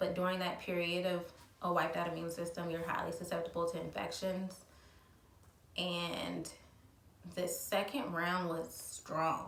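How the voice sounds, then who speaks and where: Sounding strained, a woman talks fairly slowly in a flat monotone, with long, frequent pauses. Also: fairly low pitch for a woman. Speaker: mother of a child with cancer. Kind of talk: casual talk to camera. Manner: somewhat monotone, restrained.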